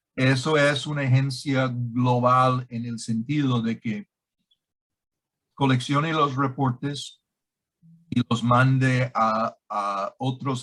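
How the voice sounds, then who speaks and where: A man's medium-pitched voice with a non-native accent, at a very slow pace. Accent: non-native Spanish speaker. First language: English (speaking Spanish). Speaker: director of an anti-scam organization. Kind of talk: interview. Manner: halting.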